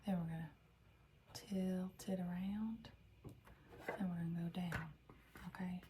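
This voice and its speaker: A woman speaks at a fairly slow pace with a slight Southern US accent, a gentle tone, and a medium pitch. Her intonation stays monotone and flat, with long, frequent pauses over noticeable background noise. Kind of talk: ASMR role-play, library information desk. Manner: gentle, soft-spoken, slow, caring.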